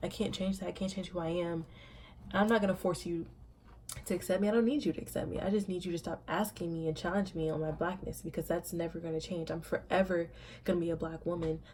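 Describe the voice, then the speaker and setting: Speaking at a very fast pace, a woman with an American accent keeps her intonation fairly even. Her voice is fairly low and somewhat breathy. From Indiana and Savannah, Georgia (US). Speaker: vlogger. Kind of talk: personal vlog monologue. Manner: mumbles sometimes; emphatic, repetitive.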